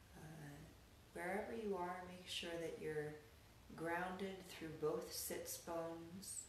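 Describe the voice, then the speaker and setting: In an American accent, a woman speaks very slowly in a calm, soothing tone, fairly low in pitch and fairly even in intonation. Light background noise and audible room echo are present. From Colorado, US. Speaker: yoga and meditation teacher; meditation teacher. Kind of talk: guided meditation. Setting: online class to a live video audience. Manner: slow, calm, soothing, with long pauses; gentle, soft-spoken. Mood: calm, soothing, slow. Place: home room. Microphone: camera far.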